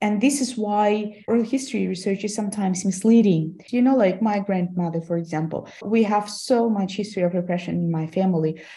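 A woman with a Russian accent speaks at a fairly quick pace, her medium-pitched voice dark, mellow and somewhat breathy. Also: ordinary pitch variation. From Kazakhstan. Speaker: history lecturer. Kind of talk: interview.

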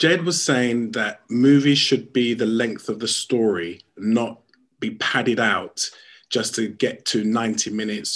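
A man talks at a fairly slow pace in a normal speaking voice, medium in pitch. The recording is very clean, with a silent background. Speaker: radio show producer. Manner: jokey, casual.

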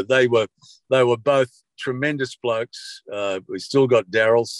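Against a quiet background, a man with an Australian accent speaks at a moderate pace in a medium pitch, the sound dry and close with no echo. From Sydney, Australia (Bondi). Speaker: veteran radio broadcaster. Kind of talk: interview.

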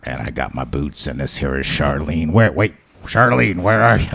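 The speaker uses a raspy, put-on character voice. The pace is moderate. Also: man, very deep, low pitch for a man. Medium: actual play. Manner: casual, rambling.

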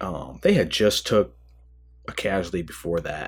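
The speaker has a Midwestern American accent. The pace is fairly slow. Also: man. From US Midwest, Michigan. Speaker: army veteran, former company commander. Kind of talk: casual interview. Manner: halting, many fillers.

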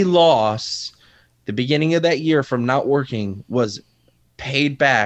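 With an American accent, a man has an unremarkable speaking voice, fairly high in pitch and with ordinary pitch variation. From Waterbury, Connecticut. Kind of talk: interview.

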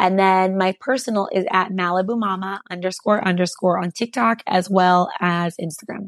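This woman has a West Coast accent and a medium pitch. Her intonation is fairly even, in a dry, close sound with no echo. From California. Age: 30s. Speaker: entrepreneur. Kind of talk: interview.

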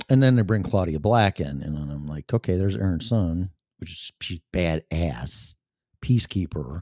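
Speaking at a moderate pace with a Chicago accent, a man with a very deep, low pitch and a dark, mellow tone uses lively intonation and big swings in loudness, in a very clean recording with a silent background and a dry, close sound with no echo. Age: 50s. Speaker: podcast host. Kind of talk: casual solo talk show monologue. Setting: home studio.

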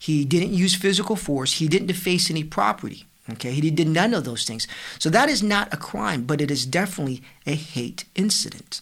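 A man talks at a fairly quick pace in a fairly high voice. His intonation is lively. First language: Vietnamese. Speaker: prosecutor. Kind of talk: interview.

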